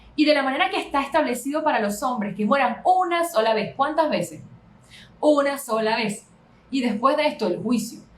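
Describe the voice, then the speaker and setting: Lively intonation runs through a woman's speech over noticeable background noise. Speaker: pastor. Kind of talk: Bible study lecture. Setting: live stream on social media. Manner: fast.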